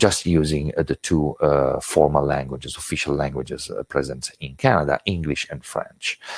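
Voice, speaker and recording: The speaker has an Italian accent and vocal fry, recorded with a dry, close sound and no echo. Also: man. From Italy. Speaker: intercultural education trainer. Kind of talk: webinar lecture. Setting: online webinar. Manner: hesitant, many filler words.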